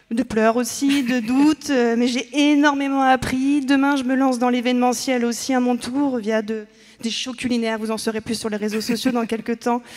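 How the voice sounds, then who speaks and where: A woman's high voice moves along at a moderate tempo, its intonation monotone and flat. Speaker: event organizer. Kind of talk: emotional thank-you speech.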